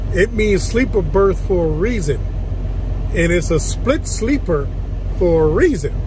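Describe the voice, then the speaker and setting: Noticeable background noise sits behind a dry sound with no echo. A man speaks at a fairly slow pace. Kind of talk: casual vlog chat. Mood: self-mocking, relaxed. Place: car. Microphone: phone near.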